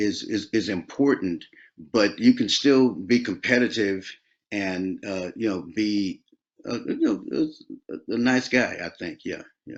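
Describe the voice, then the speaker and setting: With an American accent, a man talks at a fairly slow pace with big swings in loudness. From Oakland, California. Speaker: R&B soul singer. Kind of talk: interview answer. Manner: relaxed, conversational.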